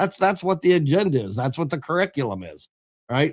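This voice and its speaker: A man with an American accent speaks at a fairly high pitch with ordinary pitch variation. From Ohio. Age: 60s. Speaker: conservative activist. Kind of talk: radio interview. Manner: animated.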